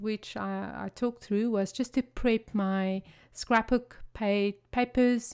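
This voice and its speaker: Speaking at a very slow pace, a woman with a South African accent has a fairly high pitch, on a very clean recording with a silent background. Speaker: craft video creator. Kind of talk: tutorial. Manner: animated.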